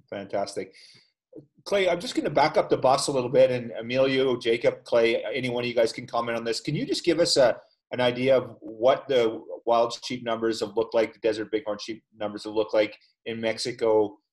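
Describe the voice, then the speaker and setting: Using an ordinary speaking voice, a man of medium pitch talks at a fairly quick pace with ordinary pitch variation and big swings in loudness. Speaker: podcast host. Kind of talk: casual interview. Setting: video call.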